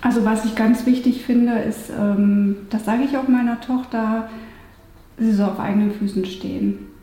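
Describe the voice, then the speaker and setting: Through noticeable background noise, a woman speaks with a fairly high pitch and monotone, flat intonation. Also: moderate pace. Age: 40s. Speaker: lawyer. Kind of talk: interview.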